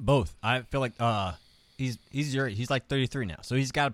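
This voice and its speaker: Captured in a very clean recording with a silent background and a dry, close sound with no echo, a man uses an ordinary speaking voice at medium pitch and a fairly quick pace. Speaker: comedian. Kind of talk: casual chat, comedy podcast interview.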